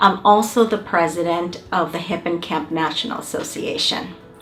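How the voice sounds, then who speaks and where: Speaking at a moderate pace, a woman with a Spanish accent has a medium pitch and ordinary pitch variation, with audible room echo and noticeable background noise. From Mexico, Mexicali, Baja California border. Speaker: university administrator. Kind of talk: welcome speech.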